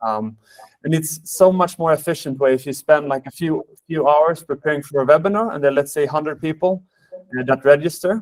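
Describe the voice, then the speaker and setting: Talking fairly quickly with a Swedish accent, a man at a fairly high pitch shows ordinary pitch variation, recorded dry and close with no echo. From Sweden. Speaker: sales manager, webinar host. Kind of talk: webinar presentation. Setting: online webinar. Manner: hesitant, many fillers.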